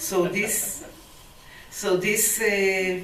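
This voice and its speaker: A woman's voice sits at medium pitch. Noticeable noise can be heard in the background. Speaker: poet. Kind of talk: introducing poems to a live audience. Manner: hesitant.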